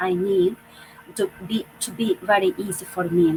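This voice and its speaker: Noticeable background noise accompanies a woman speaking at medium pitch and a fairly slow pace. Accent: non-native. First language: not English. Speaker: online business owner. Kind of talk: panel discussion. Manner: halting.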